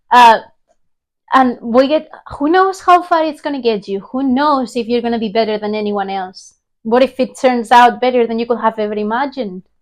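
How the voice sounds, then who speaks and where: Against a quiet background, a woman with a high pitch and ordinary pitch variation talks at a moderate pace in an animated tone. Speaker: podcast host. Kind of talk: motivational monologue.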